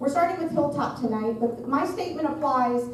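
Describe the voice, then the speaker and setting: A loud woman is heard with noticeable background noise and audible room echo. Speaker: architect. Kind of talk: presentation at community meeting. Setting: school cafeteria with audience.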